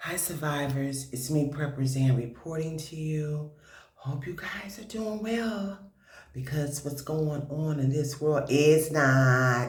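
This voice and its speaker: Quiet, fairly high male voice at a very slow pace, with ordinary pitch variation and audible room echo. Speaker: prepper video host. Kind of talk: casual commentary vlog. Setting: at home. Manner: quiet, hushed.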